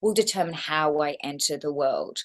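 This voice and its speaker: In an Australian accent, a woman speaks at a fairly slow pace with ordinary pitch variation. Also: quiet background. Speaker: actress. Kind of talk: interview.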